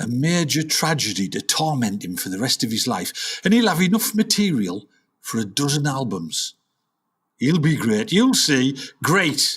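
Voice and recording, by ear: A man puts on a character voice with a fairly bright tone and a slightly husky edge. His pitch swings widely, and he goes at a fairly slow pace. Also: medium pitch for a man.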